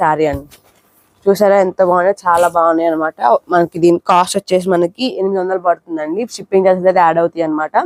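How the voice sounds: In a dry, close sound with no echo, a woman talks at a fast pace with a fairly low pitch, fairly even intonation and a slightly mellow tone.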